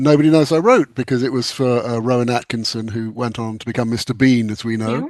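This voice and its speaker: A man with an English accent talks at a very fast pace, his medium pitch carrying fairly even intonation. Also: hardly any pauses. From England. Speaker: author and screenwriter. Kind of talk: casual chat.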